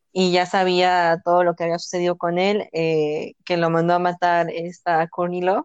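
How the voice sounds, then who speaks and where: A woman with an ordinary speaking voice talks at a fairly low pitch and a moderate pace, the sound dry and close with no echo against a quiet background. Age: 20s. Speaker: podcast co-host. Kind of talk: casual chat.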